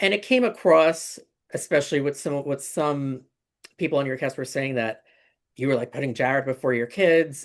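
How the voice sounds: A raspy, put-on character voice with a New Jersey accent sits at a low-to-middle pitch and moves at a moderate pace. The background is quiet.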